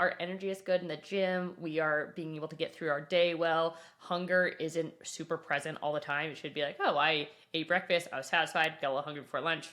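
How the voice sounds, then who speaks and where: Fairly low in pitch, the woman's voice comes through. She talks at a fairly quick pace. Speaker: nutrition coach, founder of a nutrition company. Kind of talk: podcast interview. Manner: fast.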